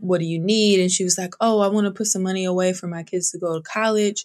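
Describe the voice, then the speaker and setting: Against a quiet background, a woman speaks at a medium pitch with fairly even intonation. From Northern California. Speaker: financial planner. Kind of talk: interview.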